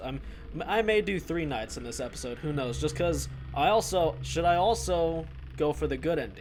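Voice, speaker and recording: A man's voice with audible room echo. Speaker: gaming youtuber. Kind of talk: let's play commentary. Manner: loud; casual.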